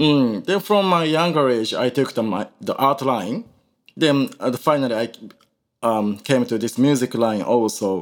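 On a very clean recording with a silent background, a man speaks with a Japanese accent. His medium-pitched voice moves at a moderate pace with lively intonation. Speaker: Indian classical musician. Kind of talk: interview. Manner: halting.

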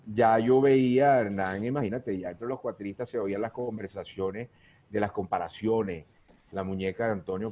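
A dark, mellow tone marks the man's speech, which shows ordinary pitch variation. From Venezuela, Guayana region. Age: 60s. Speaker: cuatro musician. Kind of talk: casual interview chat.

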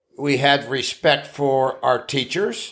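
Here is a man with an Appalachian accent. His pitch sits fairly high. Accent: Appalachian American English. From US Appalachia (West Virginia). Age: 70s. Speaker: retired farm-raised grandfather. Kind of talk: casual chat. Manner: rambling storyteller.

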